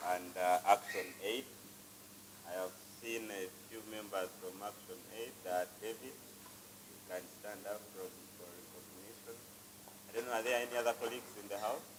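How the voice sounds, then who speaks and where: With audible room echo and noticeable background noise, a man with a fairly low pitch speaks at a moderate pace in fairly even intonation, his loudness swinging widely. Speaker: youth organization executive director. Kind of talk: opening remarks speech. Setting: conference room without microphone. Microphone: no microphone, switched off.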